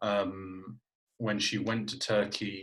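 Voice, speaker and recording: A man's monotone, flat delivery. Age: 20s. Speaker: podcast host, former journalist. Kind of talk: interview conversation. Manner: hesitant, many fillers.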